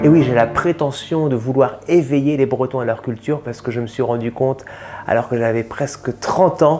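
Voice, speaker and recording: Over noticeable background noise, a man talks at a moderate pace. His pitch is medium, with ordinary pitch variation. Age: 40s. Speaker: comedian. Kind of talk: interview portrait. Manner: hesitant, many fillers.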